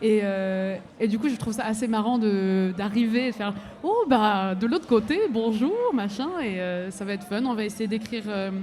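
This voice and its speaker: In a room with audible echo, a woman with a fairly high pitch talks at a moderate pace with hardly any pauses, ordinary pitch variation and big swings in loudness. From abroad, came to France at 15. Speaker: singer-songwriter. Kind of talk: live radio interview. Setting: festival stage with audience.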